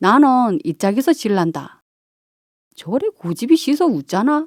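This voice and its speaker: In a Chungcheong accent, a woman talks at a fairly slow pace in a relaxed tone. The sound is dry and close, with no echo. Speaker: amateur voice actor, local native. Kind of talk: children's fairy tale reading. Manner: relaxed, unhurried.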